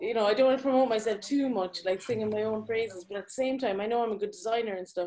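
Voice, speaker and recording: The speaker has an Irish accent. The intonation is fairly even and the pace fairly quick. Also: woman. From Ireland. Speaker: graphic designer. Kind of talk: live Q&A discussion. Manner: halting.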